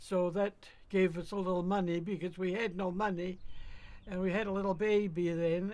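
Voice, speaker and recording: A woman speaks with a Cape Breton accent at medium pitch and a moderate pace. Her tone is dark and mellow, her intonation monotone and flat. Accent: Cape Breton Canadian. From Cape Breton, Nova Scotia. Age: 90s. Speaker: retired telegraph operator. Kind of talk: interview. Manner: halting.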